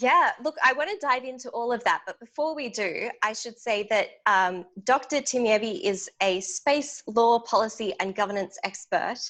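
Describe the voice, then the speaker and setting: A woman's fairly high voice with lively intonation, at a moderate pace with hardly any pauses. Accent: Australian. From Australia. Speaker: podcast host. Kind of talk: interview.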